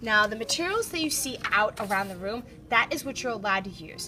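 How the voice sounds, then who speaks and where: With music in the background, a woman talks at a fairly quick pace, her pitch swinging very widely. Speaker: art teacher. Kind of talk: classroom instruction. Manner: fast.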